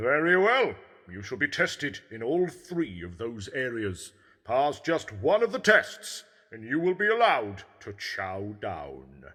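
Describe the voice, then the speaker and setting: A man puts on a character voice at a medium pitch. He keeps to a fairly slow pace. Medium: audio drama. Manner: smug, teasing.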